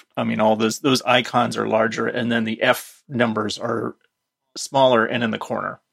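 A man at medium pitch with vocal fry, flat monotone intonation and a moderate pace. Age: 50s. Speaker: tech commentator. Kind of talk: casual chat.

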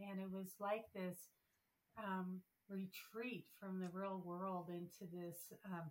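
A woman speaks at a very slow pace with a Pacific Northwest accent, her pitch medium. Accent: American, Pacific Northwest. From Idaho, Moscow. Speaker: former mayor. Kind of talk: casual chat.

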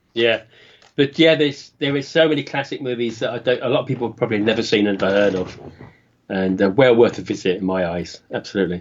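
A man with a British accent speaks at a fairly quick pace. His pitch is medium, with ordinary variation. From UK. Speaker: podcast co-host, guest. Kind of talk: casual chat.

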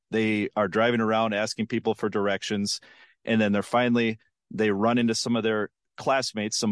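A man with an American accent speaks at a moderate pace in a fairly low pitch. The sound is dry and close with no echo, against a quiet background. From western Minnesota. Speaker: TV investigative reporter and author. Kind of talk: interview, storytelling a case.

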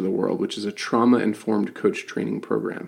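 A man with an ordinary speaking voice, medium pitch, moderate pace and fairly even intonation. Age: 40s. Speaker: podcast host and coach. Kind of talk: casual interview chat.

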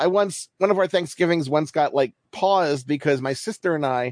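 The sound is dry and close, with no echo. A man with an ordinary speaking voice talks at a moderate pace with ordinary pitch variation. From US, Baltimore. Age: 40s. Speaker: baseball writer. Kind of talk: casual chat.

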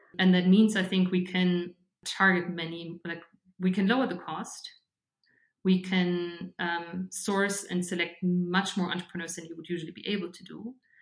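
A woman with a fairly low voice speaks in a German accent with monotone, flat intonation. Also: moderate pace. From Germany, Bavaria (Regensburg). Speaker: fintech startup founder. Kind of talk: interview conversation.

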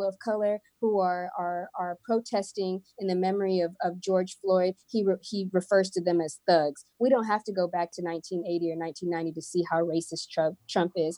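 A woman's ordinary speaking voice at a moderate pace, fairly even in intonation, with a dry, close sound and no echo. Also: hardly any pauses. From Houston, Texas (Kenyan American family; born in Missouri). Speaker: social worker and speaker. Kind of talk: casual interview conversation.

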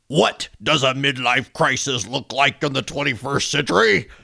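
Man in a put-on character voice, angry in tone, medium-pitched, at a moderate pace

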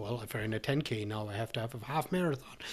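A man's voice is somewhat breathy, with ordinary pitch variation. The recording is very clean with a silent background. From Germany. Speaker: trail race director. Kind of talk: interview. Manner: halting.

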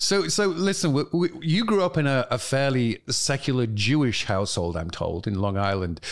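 A man speaks with a British accent, his pitch swinging very widely. The recording is very clean, with a silent background. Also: medium pitch for a man, moderate pace, hardly any pauses, very even loudness. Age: 50s. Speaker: author and family law reform advocate. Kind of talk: interview conversation.

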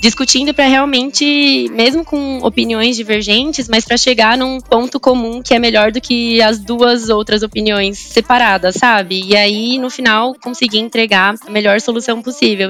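Over noticeable background noise, a woman with a fairly high pitch talks at a moderate pace, with fairly even intonation and hardly any pauses. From Brazil, São Paulo (São Bernardo, ABC Paulista). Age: 20s. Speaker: management trainee. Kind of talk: interview.

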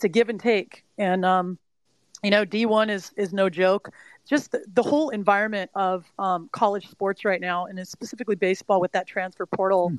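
A woman with an American accent speaks in a plain, everyday voice at a medium pitch and a moderate pace, with ordinary pitch variation and a dry, close sound with no echo. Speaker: mental performance coach. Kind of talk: interview. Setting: live audio stream.

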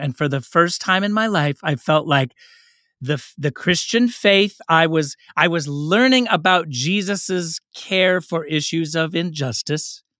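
On a very clean, dry, close recording with a silent background and no echo, a man with an American accent talks fairly slowly in a high pitch with ordinary pitch variation. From Oakland, California. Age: 50s. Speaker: racial justice trainer and podcaster. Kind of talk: interview conversation.

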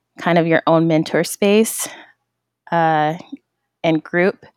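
A woman's very deep, low voice comes through with a dry, close sound and no echo. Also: very clean recording, silent background. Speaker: founder of a tech community. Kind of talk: casual solo monologue. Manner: hesitant, many fillers.

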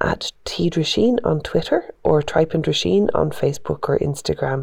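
Moderate pace over noticeable background noise. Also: woman. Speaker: podcast interviewer. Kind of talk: interview.

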